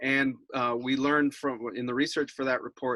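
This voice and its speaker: Medium-pitched male speech at a moderate pace, an unremarkable speaking voice, dry and close with no echo. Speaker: environmental campaigner. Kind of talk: webinar presentation.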